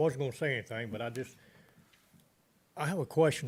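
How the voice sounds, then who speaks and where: A man with a western North Carolina accent speaks at a medium pitch with ordinary pitch variation. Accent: Southern US, western North Carolina. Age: 80s+. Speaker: resident speaking at public comment. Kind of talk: public comment at a government meeting. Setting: county commissioners' meeting room.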